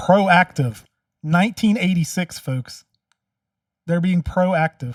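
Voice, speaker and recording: At a very slow pace, a man speaks loudly in a high voice with ordinary pitch variation, in a dry, close sound with no echo. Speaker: commentary video host and local candidate. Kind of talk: reaction commentary.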